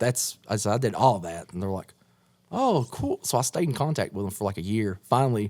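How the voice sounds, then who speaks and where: A strong East Tennessee accent with a dark, mellow tone, lively intonation and a very fast pace. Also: man. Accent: strong East Tennessee twang. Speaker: horror punk musician. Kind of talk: casual chat. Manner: animated.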